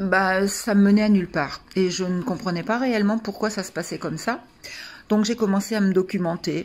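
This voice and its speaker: A woman's medium-pitched voice holds fairly even intonation at a moderate pace. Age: 60s. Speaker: coaching client giving a testimonial. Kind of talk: testimony. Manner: hesitant, many fillers.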